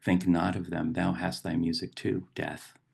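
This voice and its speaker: A man speaks at a fairly slow pace. His pitch is very deep and low, with vocal fry. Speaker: poet and professor; meditation guide. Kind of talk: reflective talk on poetry and meditation.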